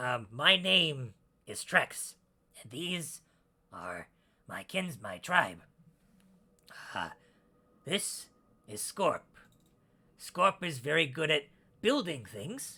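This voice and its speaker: Using a put-on character voice, a man talks very slowly with long, frequent pauses. His voice is raspy and fairly high in pitch. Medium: actual play. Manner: hesitant, stammering.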